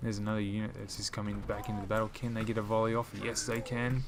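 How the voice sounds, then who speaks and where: At a very fast pace, a man with an Australian accent speaks at a medium pitch. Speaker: gaming YouTuber. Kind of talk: live gameplay commentary. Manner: animated.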